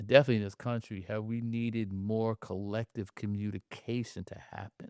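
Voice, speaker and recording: The speaker talks at a moderate pace with a New York accent. The recording is very clean, dry and close, with no echo and a silent background. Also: man. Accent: New York area American. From New Jersey, Jersey City. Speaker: playwright and poet. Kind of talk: casual chat. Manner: animated.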